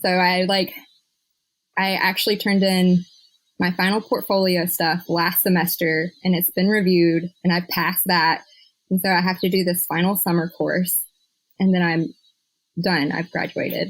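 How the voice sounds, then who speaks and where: The speaker has a Southern US accent and a moderate pace, with long, frequent pauses. Loudness stays very even and the intonation is monotone and flat. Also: woman, fairly low pitch for a woman. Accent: Southern US (Georgia). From US South, Georgia (Butts County). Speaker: archives lab manager. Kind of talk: casual interview chat.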